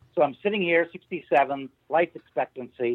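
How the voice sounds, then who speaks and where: With ordinary pitch variation, a man's speech moves fairly quickly. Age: 60s. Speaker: outdoorsman and bowhunter. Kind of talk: interview. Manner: animated.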